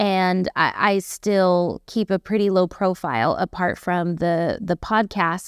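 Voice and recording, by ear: A woman with a fairly low pitch and a clear, smooth tone speaks at a slow pace in a dry, close sound with no echo, on a very clean recording with a silent background. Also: ordinary pitch variation.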